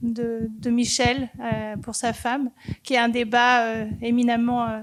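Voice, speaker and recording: Delivery is very slow, with monotone, flat intonation. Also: woman. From France. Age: 60s. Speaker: audience member. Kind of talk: audience comment. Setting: cinema hall with audience. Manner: hesitant.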